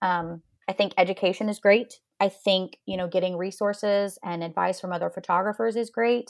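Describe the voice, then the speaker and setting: Against a quiet background, a woman with a normal speaking voice speaks at medium pitch and moderate pace with fairly even intonation. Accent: American. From northeastern Oklahoma. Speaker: photographer. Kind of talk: casual interview.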